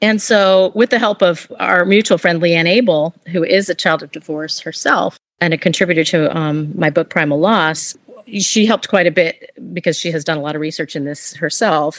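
A woman speaks in an ordinary speaking voice at a moderate pace, her fairly low pitch moving with ordinary variation in a dry, close sound with no echo. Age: 50s. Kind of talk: interview conversation.

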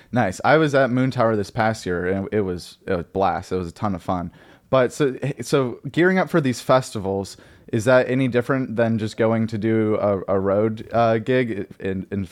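A man's plain, everyday voice at a medium pitch, ordinary pitch variation and a moderate pace, against a quiet background. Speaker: podcast host. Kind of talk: casual interview chat. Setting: video call.

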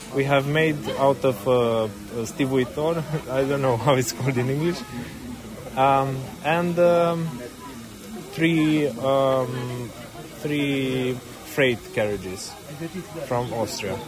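Amid noticeable background noise and audible room echo, a man at a medium pitch talks at a very slow pace with ordinary pitch variation and long, frequent pauses. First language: Romanian. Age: young. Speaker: filmmaker and railway volunteer. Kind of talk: interview.

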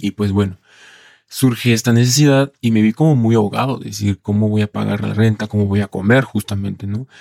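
Dry, close sound with no echo, carrying a man's fairly low, dark, mellow voice at a fairly quick pace. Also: very clean recording, silent background. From Mexico, Colima. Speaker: male sex worker. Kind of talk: interview testimony. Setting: studio.

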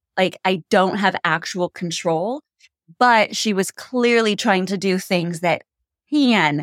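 A woman talks at a fairly slow pace with a medium pitch and ordinary pitch variation. It is a normal speaking voice, dry and close with no echo. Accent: American. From United States. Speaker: podcast co-host, expat. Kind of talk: casual chat.

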